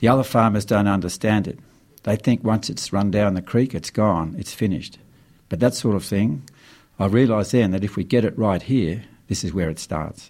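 Recorded very cleanly over a silent background, a man with an Australian accent talks at a moderate pace. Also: fairly low pitch for a man, ordinary pitch variation. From Australia, rural New South Wales near the Snowy Mountains. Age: 60s. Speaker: farmer and author. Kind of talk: radio interview. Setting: radio studio.

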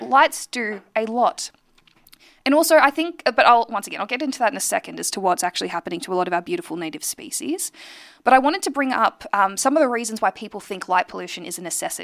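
In a very clean recording with a silent background and a dry, close sound without echo, someone with an Australian accent speaks very fast, with very wide pitch swings and big swings in loudness. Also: woman, fairly high pitch for a woman. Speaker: radio host and astronomer. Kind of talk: radio talk show monologue.

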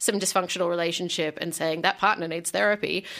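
A woman with an Australian accent, fairly low pitch and a bright, sharp tone, on a very clean recording with a silent background. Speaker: magazine editor and memoir author. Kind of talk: radio interview. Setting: radio studio. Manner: frequent laughter and fillers.

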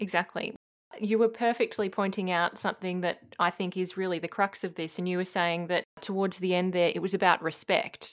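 Fairly quick pace and monotone, flat intonation with an Australian accent. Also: woman, medium pitch for a woman. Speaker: radio host. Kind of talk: radio interview.

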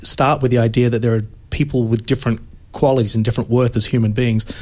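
With an Australian accent, a man speaks at a medium pitch in a dark, mellow tone with fairly even intonation. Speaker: philosophy professor. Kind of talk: radio interview. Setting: radio studio.

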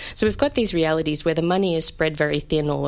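A woman speaks with vocal fry in a very deep, low pitch. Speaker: copyright law academic. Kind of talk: interview discussion.

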